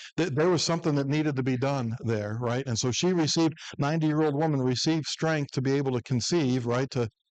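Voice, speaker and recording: The speaker has a Midwestern American accent and talks at a very fast pace with hardly any pauses. Loudness stays very even, and pitch variation is ordinary. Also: man, fairly high pitch for a man. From US Midwest, northern Ohio. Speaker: preacher. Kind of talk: Bible class teaching. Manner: conversational.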